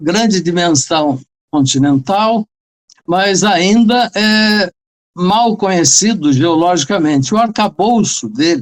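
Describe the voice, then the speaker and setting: A man with a high pitch speaks very slowly, his intonation lively. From Brazil, São Paulo state interior. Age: 70s. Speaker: retired geology professor and author. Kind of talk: interview.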